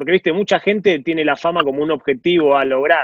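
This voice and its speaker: The speaker is a man with a Rioplatense accent. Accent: Argentine Spanish (rioplatense). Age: 40s. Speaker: podcast co-host. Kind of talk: interview.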